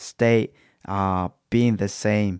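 A man's voice with a non-native accent and fairly even intonation at a very slow pace, dry and close with no echo, on a very clean recording with a silent background. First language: not English. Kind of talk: devotional talk. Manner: hesitant, many fillers.

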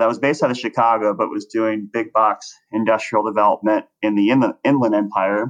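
An unremarkable speaking voice from a man, medium-pitched and moderately paced. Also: very clean recording, silent background. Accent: American. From Texas, Dallas suburbs. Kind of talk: interview.

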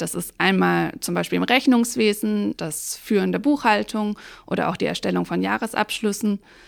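On a very clean recording with a silent background, the speaking pace is moderate. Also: woman. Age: 30s. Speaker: tax advisor and auditor. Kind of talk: interview.

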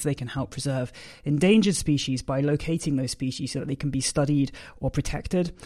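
With a British accent, this man speaks fairly quickly in a fairly high pitch and a dark, mellow tone, on a very clean recording with a silent background. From Britain. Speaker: podcast host and gundog trainer. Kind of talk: scripted introduction; interview.

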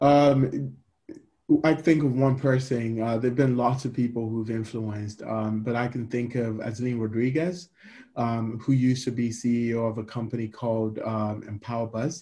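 The pace is moderate. This man's voice has a dark, mellow tone. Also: medium pitch for a man, fairly even intonation. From Ghana. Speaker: startup CEO. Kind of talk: interview. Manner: hesitant, many fillers.

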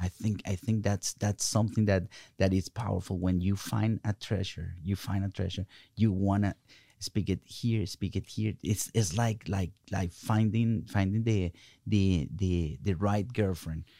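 Over a silent background in a very clean recording, a man with a Spanish accent speaks slowly-ish with a fairly low pitch, a dark, mellow tone and fairly even intonation. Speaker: pastor. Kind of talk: faith-based interview conversation. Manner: halting; passionate.

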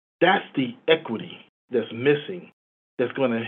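A man with an American accent, a normal speaking voice, medium pitch and a moderate pace. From Chicago, US. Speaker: credit union executive. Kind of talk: interview.

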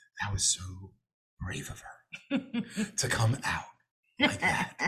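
This is a put-on character voice, and it is raspy. The delivery comes at a fairly slow pace. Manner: imitating someone's way of speaking.

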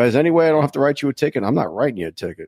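This man is heard on a very clean recording with a silent background and a dry, close sound with no echo. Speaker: podcast host, retired police officer. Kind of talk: casual chat, tipsy after-show banter.

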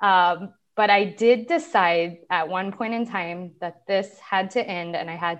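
This woman has an unremarkable speaking voice, medium in pitch, with lively intonation. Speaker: online beauty business owner. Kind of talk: personal testimony in interview.

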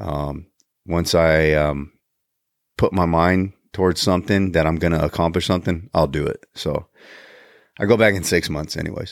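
A man speaks in a very deep, low voice with fairly even intonation at a moderate pace. Long, frequent pauses break up the talk on a very clean recording with a silent background. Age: 40s. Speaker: podcast host. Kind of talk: casual solo monologue. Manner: halting, many fillers and repeated words.

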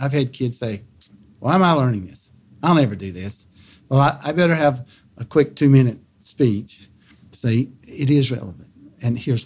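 With a dark, mellow tone and a somewhat breathy quality, a man talks at a moderate pace and medium pitch, his intonation lively, on a very clean recording with a silent background. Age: 60s. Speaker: middle school science teacher. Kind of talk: interview. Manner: halting, repeats words.

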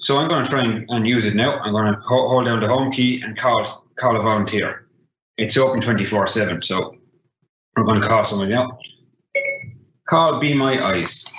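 With an Irish accent, a man talks at a moderate pace and ordinary pitch variation. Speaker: assistive technology trainer. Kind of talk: tutorial.

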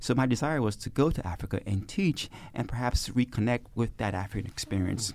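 Here a man speaks fairly quickly with an American accent and vocal fry. His pitch is fairly low, and the recording is very clean with a silent background. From Brooklyn, New York. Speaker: sociology professor. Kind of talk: interview. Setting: studio.

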